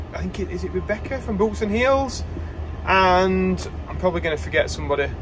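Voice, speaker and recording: A man speaks at a fairly quick pace. Light background noise sits behind him. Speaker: farmer vlogger. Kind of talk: casual vlog chat. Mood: relaxed, slightly bored. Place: car. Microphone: phone near.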